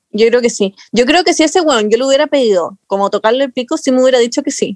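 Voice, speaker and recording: At a very fast pace, a woman speaks at a high pitch with ordinary pitch variation, in a dry, close sound with no echo. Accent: Chilean. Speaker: podcast co-host. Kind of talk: casual chat.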